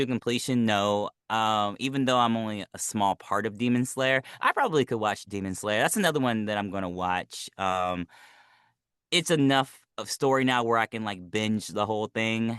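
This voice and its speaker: An ordinary speaking voice: a man with an American accent at a medium pitch, moderate pace and ordinary pitch variation. The sound is dry and close with no echo, against a quiet background. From United States. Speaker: voice actor. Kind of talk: interview.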